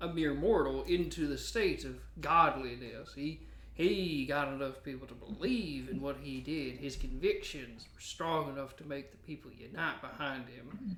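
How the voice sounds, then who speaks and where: A man's put-on character voice, fairly high in pitch and drawling, at a moderate pace with big swings in loudness and clear background noise. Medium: actual play. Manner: folksy, drawling.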